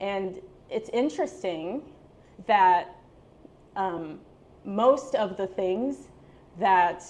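A woman's tone is animated and her intonation lively. She leaves long, frequent pauses. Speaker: storytelling student, part-time English teacher. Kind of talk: storytelling performance. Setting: stage with audience. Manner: animated, laughs often. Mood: light, humorous. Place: cafe. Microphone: handheld.

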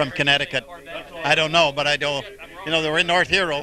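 With fairly even intonation, a man speaks in a dry sound with no echo, while noticeable background noise runs behind him. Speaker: navy veteran attending event. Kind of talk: casual interview chat. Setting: outdoors at a commemoration ceremony. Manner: halting, laughing. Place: open country. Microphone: handheld.

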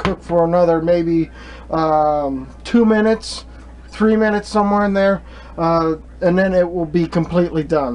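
A man's speech moves at a moderate pace, its pitch varying in an ordinary way. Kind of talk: tutorial. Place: kitchen. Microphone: camera far.

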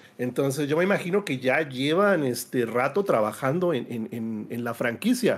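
A man talks at a moderate pace with lively intonation and hardly any pauses. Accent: Mexican. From Mexico. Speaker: gaming panelist; panelist. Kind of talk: casual debate panel. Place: home room.

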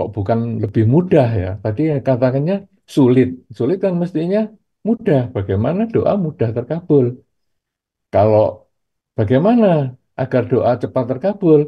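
A man's somewhat breathy voice at a moderate pace, with very wide pitch swings, long, frequent pauses and a quiet background. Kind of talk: sermon. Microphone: video call.

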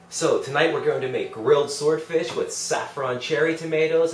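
An upbeat, enthusiastic man at a fairly quick pace, over noticeable background noise. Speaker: cookbook author and TV cooking show host. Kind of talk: TV cooking demonstration, upbeat host presenting a recipe to camera. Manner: upbeat, friendly, enthusiastic.

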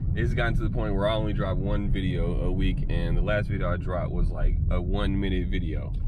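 Loud background noise sits under a dry sound with no echo. A man speaks at a fairly quick pace. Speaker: vlogger. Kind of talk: casual vlog chat. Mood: relaxed, candid. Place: car. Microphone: phone near.

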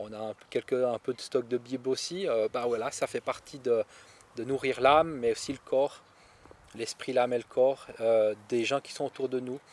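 Delivered at a fairly slow pace with fairly even intonation, the voice has a dry sound with no echo. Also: man, medium pitch for a man. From Switzerland. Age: 30s. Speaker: farmer; interviewee. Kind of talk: interview. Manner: hesitant, many fillers. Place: garden. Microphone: handheld.

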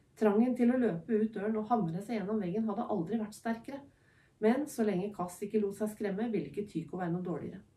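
Someone reads aloud plainly, and the pitch varies in an ordinary way.

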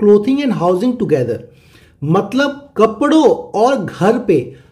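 Audible room echo surrounds a man's high-pitched voice, which has lively intonation. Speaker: maths teacher. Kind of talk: lecture.

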